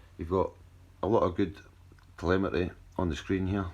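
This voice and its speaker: With a Scottish accent, a man talks at a fairly quick pace against a quiet background. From Scotland. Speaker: drone hobbyist youtuber. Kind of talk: tutorial. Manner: casual, some stumbling and repeats.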